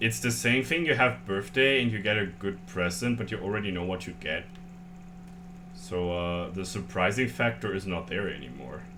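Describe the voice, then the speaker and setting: Over audible room echo, a man with a German accent speaks at a moderate pace in a very deep, low pitch with very wide pitch swings. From Germany. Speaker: streamer. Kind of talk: casual chat. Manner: halting.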